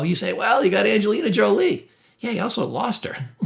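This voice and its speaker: With an animated tone, a man speaks in very wide pitch swings. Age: 60s. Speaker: therapist and mental health teacher. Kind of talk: casual self-help talk to camera.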